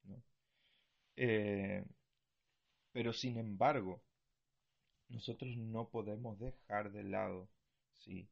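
With long, frequent pauses, a man speaks at a very slow pace. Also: medium pitch for a man, ordinary pitch variation, big swings in loudness. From Argentina. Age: 20s. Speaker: missionary and podcast host. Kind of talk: bible teaching talk. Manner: hesitant, many fillers.

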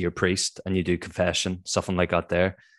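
Over a quiet background, a man with a Northern Irish accent talks in a very deep, low pitch with monotone, flat intonation. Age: 20s. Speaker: podcast host. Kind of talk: casual interview.

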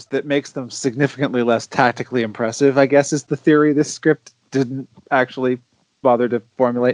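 At a fairly quick pace, this monotone, flat voice has a dry, close sound with no echo. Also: man, medium pitch for a man. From Canada. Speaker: podcast guest panelist. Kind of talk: casual chat.

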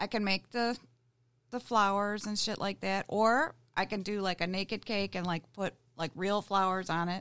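With an American accent, a woman speaks at a moderate pace. Her pitch is medium and her intonation fairly even. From Michigan (Grosse Pointe). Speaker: cake decorator. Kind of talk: casual chat. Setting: studio.

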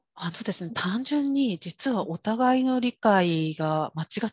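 A woman's somewhat breathy voice with lively intonation, against a quiet background. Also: dry, close sound with no echo. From Kyushu, Japan (rural). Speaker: interpreter and executive coach. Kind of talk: interview.

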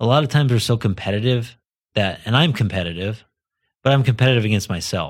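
At a very fast pace, a man with a medium pitch speaks on a very clean recording with a silent background. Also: ordinary pitch variation. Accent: American. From US, southern Idaho. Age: 40s. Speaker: entrepreneur. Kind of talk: casual interview.

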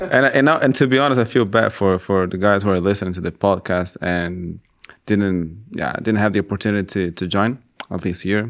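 With a normal speaking voice, a man talks at a moderate pace and a fairly low pitch. His pitch variation is ordinary. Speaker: polyglot language teacher. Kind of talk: casual chat.

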